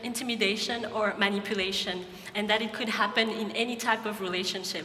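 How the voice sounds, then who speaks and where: The speech comes with a Malagasy accent, fairly even intonation and a moderate pace. Audible room echo and noticeable background noise are present. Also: woman. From Madagascar. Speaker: nonprofit founder. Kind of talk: pitch talk. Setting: stage with audience.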